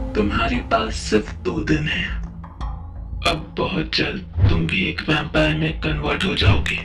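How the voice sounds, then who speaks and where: Over loud music in the background, a man uses a put-on character voice, very deep and low, at a moderate pace. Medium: read story. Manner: cold, cryptic, mocking.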